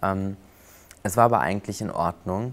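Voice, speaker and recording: A man's unremarkable speaking voice at a moderate pace, with fairly even intonation. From western Germany, near Cologne. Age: 20s. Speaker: flight attendant and prosthesis user. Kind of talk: interview.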